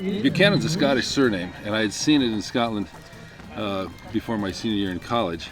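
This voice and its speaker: A fairly quick, lively delivery in an American accent, with music in the background. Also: man, medium pitch for a man. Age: 60s. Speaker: masters highland games athlete. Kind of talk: interview.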